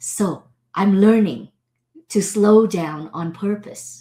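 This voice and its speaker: At a very slow pace, a woman speaks in a dark, mellow tone at medium pitch, somewhat breathy, with lively intonation. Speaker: show host and teacher. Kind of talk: solo monologue reflection. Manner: animated.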